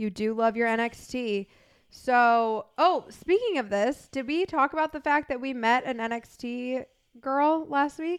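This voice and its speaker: The recording is very clean, with a silent background. A woman speaks fairly slowly at a high pitch with ordinary pitch variation. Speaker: podcast co-host. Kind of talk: casual chat.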